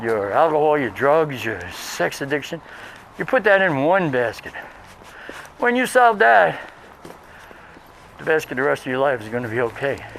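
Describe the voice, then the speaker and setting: Amid noticeable background noise, a fairly high-pitched man with an American accent speaks at a moderate pace, his pitch swinging very widely between long, frequent pauses. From Brooklyn, New York City. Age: 60s. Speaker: professor and vlogger. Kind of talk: casual walking vlog monologue. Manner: hesitant with fillers.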